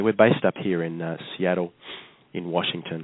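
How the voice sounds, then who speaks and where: In an Australian accent, the words come at a moderate pace. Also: man. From Australia, Perth. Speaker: travel company representative. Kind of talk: interview. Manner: halting, many fillers.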